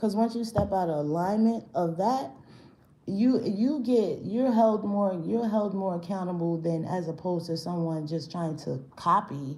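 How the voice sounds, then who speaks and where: Audible room echo surrounds an animated tone delivered at a fairly slow pace. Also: woman, medium pitch for a woman, lively intonation. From New York, Brooklyn. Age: 40s. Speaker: spiritual tarot reader. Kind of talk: live-stream tarot reading. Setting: live stream. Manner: casual, animated.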